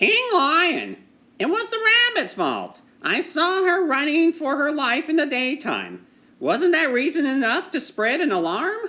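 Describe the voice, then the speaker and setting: A man puts on a character voice, extremely high in pitch. He moves at a fairly slow pace. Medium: read story.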